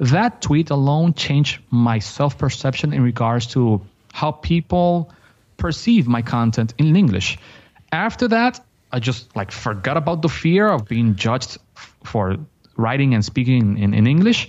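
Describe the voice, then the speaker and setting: Fairly slow speech with lively intonation and a Dominican accent. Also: man, medium pitch for a man. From Dominican Republic. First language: Spanish. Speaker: graphic designer and online business teacher. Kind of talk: casual interview conversation. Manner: animated.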